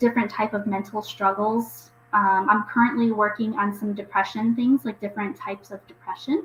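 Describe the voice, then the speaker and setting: An American accent with hardly any pauses, fairly even intonation, big swings in loudness and noticeable background noise. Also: woman. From US Midwest. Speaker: YouTuber. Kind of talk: casual livestream chat. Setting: livestream. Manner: casual, filler-heavy.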